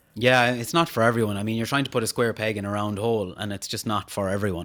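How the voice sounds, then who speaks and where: A man speaks with a western Irish accent at a fairly low pitch. His pace is very fast. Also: ordinary pitch variation. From Ireland, County Mayo (Castlebar). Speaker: podcast host and social media personality. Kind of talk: interview conversation.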